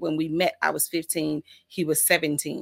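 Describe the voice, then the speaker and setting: A woman with a plain, everyday voice and an American accent speaks at a moderate pace and fairly low pitch on a very clean recording with a silent background. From US South, Mississippi. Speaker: minister and author. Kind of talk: interview.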